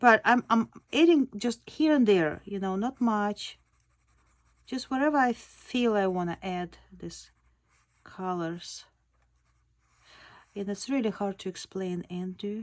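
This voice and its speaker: A woman's medium-pitched voice with a non-native accent, a fairly slow pace, lively intonation, long and frequent pauses and big swings in loudness. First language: not English. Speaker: sketch artist, art tutor. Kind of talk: tutorial demo. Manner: halting, many fillers.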